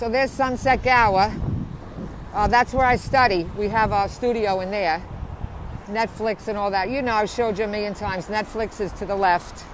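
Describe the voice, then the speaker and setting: Amid noticeable background noise, a woman with a strong New Jersey accent speaks at a fairly high pitch with fairly even intonation. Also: moderate pace. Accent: strong Bayonne New Jersey. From New Jersey, Bayonne. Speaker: vlogger. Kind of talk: casual live stream narration. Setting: outdoors riding a bicycle. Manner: casual, chatty.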